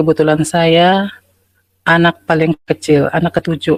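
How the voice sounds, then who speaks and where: A woman speaks at a fairly slow pace with a Sumatran accent, her pitch fairly low. The sound is dry and close, with no echo. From North Sumatra (Asahan). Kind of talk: testimony.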